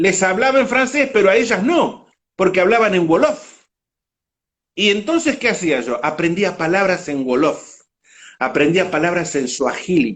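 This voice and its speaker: The speech is animated, with very wide pitch swings. It moves at a fairly slow pace. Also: man, high pitch for a man. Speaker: motorcycle world traveler. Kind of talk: interview. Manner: animated storytelling.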